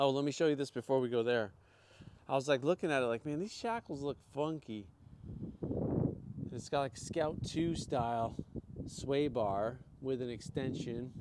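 A man at a moderate pace, ordinary pitch variation, long and frequent pauses, and noticeable background noise. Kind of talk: casual vlog commentary. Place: street. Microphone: phone near.

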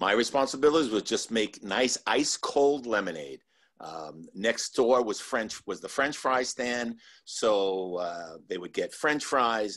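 At a fairly slow pace, a man in a normal speaking voice talks at medium pitch with lively intonation over a quiet background. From New Jersey, Cliffside Park. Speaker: former park worker. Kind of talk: panel interview. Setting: video call. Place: home room. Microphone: video call.

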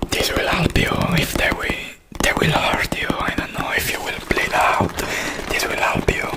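Loud background noise runs behind a man talking at a fairly slow pace. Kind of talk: role-play talk to camera. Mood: caring, soothing. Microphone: earbuds.

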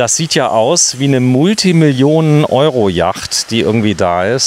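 A man with lively intonation, in a dry sound with no echo and light background noise. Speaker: video host touring yachts. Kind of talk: casual walkthrough commentary. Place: waterside.

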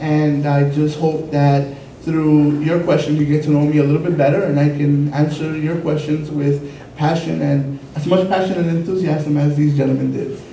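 A man with an American accent talks at a moderate pace in a monotone, flat intonation, his pitch fairly high. There is audible room echo and light background noise. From New York. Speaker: city commission candidate. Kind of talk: candidate forum debate. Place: meeting room.

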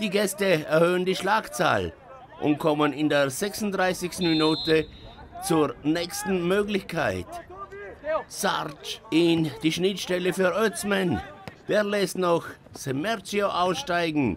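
Over crowd noise in the background, a high-pitched man talks very slowly with long, frequent pauses and ordinary pitch variation. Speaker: sports commentator. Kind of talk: live-style sports commentary over match highlights. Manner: punchy, colloquial, playful.

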